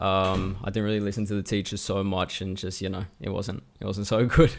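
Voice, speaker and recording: Fairly low-pitched male voice with an Australian accent, flat monotone delivery and a fairly quick pace. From Australia, Melbourne, with childhood years in Macau and Singapore. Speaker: YouTuber and musician. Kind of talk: casual chat.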